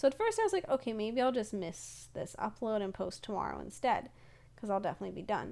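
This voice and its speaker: On a very clean recording with a silent background, a woman speaks at a fairly high pitch. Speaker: gaming YouTuber and streamer. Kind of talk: voiceover commentary. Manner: fast; energetic.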